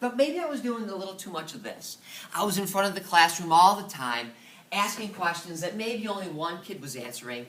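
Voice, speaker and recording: A high-pitched man's voice swings very widely in pitch. Noticeable background noise and audible room echo accompany it. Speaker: middle school science teacher. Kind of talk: presentation. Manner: fast.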